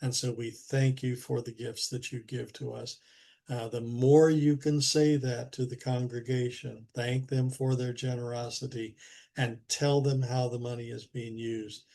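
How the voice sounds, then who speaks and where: In a somewhat breathy, dark and mellow tone, a man talks at a fairly slow pace with medium pitch and monotone, flat intonation. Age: 70s. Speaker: church finance trainer. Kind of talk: webinar training presentation. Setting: video call webinar.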